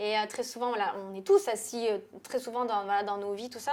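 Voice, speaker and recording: Fairly quick speech from a woman, her pitch varying in an ordinary way. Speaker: portrait photographer. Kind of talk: tutorial. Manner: fast.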